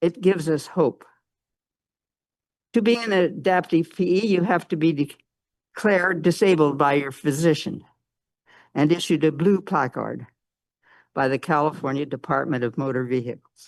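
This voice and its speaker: Against a quiet background, a woman talks at a moderate pace with long, frequent pauses. Her voice is very deep and low, with lively intonation. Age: 80s+. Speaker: public commenter. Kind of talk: public comment.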